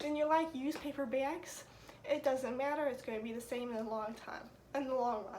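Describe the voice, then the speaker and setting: Background noise is noticeable. Over it, a woman speaks in a high voice. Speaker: student. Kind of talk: class speech presentation. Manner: casual, conversational.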